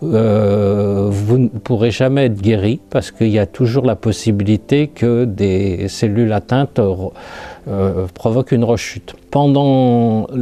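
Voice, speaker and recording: A man speaks at a very slow pace with hardly any pauses over noticeable background noise. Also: fairly low pitch for a man, ordinary pitch variation. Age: 60s. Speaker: lymphoma survivor, retiree. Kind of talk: testimony. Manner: halting.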